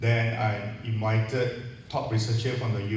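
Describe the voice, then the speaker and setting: A man talks at a very slow pace, with audible room echo and light background noise. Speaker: event organizer host. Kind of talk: welcome speech. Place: hall.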